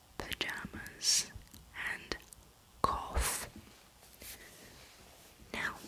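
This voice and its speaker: Whispering over noticeable background noise. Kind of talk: ASMR whisper video with enunciated words and accent tag questions. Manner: whispered, slow, crisp word list reading.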